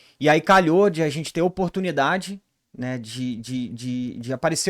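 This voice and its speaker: A man's fairly high voice, with ordinary pitch variation, comes through a very clean recording against a silent background. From Rio de Janeiro, Brazil. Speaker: ERP consultant, business co-founder. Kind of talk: podcast interview.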